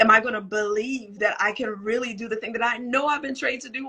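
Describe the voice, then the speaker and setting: A woman's fairly high voice carries vocal fry and a bright, sharp tone over fairly even intonation. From Trinidad. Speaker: motivational speaker. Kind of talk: live conversation. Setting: livestream.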